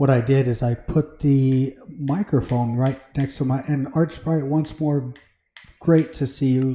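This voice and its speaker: The voice has a dark, mellow tone and fairly even intonation, moving at a fairly slow pace. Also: man. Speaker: Minecraft livestreamer. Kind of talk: casual livestream chat. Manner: conversational, hesitant with fillers. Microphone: mic moved close to mouth; echo in recording.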